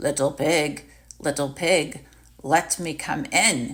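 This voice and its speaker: A put-on character voice growls at a very slow pace. The pitch sits low to middle. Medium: read story. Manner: sly, coaxing.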